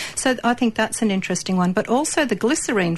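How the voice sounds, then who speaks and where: A woman speaks with an Australian accent. Her intonation is lively and her pace fairly quick. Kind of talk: casual chat.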